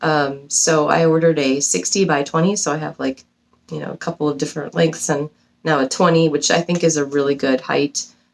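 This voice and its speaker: Her pitch is very deep and low, with ordinary variation. The woman talks at a fairly quick pace. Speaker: cross stitch video creator. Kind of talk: casual vlog chat. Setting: home basement. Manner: fast; hesitant, many ums.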